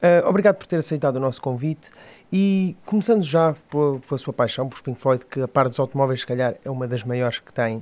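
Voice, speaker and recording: A man talks at a fairly quick pace in a plain, everyday voice. His pitch sits fairly high, and his intonation is lively. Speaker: podcast host. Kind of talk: interview.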